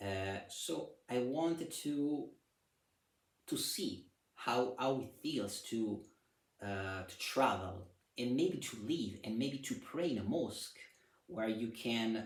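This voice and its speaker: A man with an Italian accent speaks at a very slow pace with medium pitch and lively intonation, leaving long, frequent pauses. Audible room echo surrounds his voice. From Italy. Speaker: vlogger. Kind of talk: personal travel vlog. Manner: halting, with fillers.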